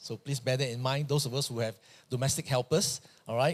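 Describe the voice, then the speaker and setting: A man talks fairly quickly at a medium pitch. His voice is somewhat breathy. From Malaysia. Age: 60s. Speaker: pastor. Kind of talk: sermon.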